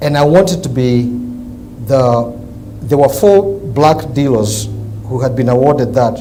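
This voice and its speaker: The speaker has an African accent and talks at a fairly slow pace with ordinary pitch variation. Noticeable background noise and audible room echo are present. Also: man, medium pitch for a man. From Kenya. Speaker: businessman, car dealer. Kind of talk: interview.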